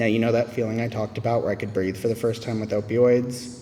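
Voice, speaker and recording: Recorded with audible room echo, a man with an American accent and a fairly low voice talks at a fairly quick pace. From US South. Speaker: AA speaker. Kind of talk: testimony.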